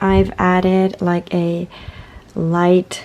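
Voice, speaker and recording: Noticeable background noise is present throughout. A woman talks very slowly. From Italy. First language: Italian. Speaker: illustrator. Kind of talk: casual vlog.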